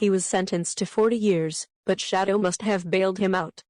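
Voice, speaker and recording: A woman uses a cartoonish character voice at a medium pitch. Her intonation is monotone and flat, at a moderate pace. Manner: cocky, defiant.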